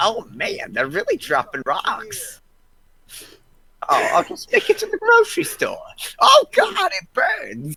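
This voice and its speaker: A put-on character voice at an extremely high pitch, fairly slow pace and long, frequent pauses. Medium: game stream. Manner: rambling, confused.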